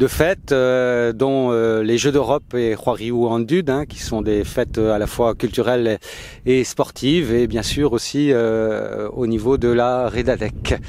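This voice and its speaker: Fairly even intonation marks a man's delivery at a very slow pace. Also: medium pitch for a man. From Brittany, Finistère. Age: 60s. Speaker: political candidate. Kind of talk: interview. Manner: halting, many fillers.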